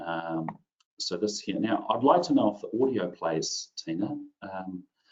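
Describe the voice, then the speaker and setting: A man speaks with a New Zealand accent. His pace is fairly slow. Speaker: IT consultant presenter. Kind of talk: webinar tutorial. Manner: casual, filler-heavy.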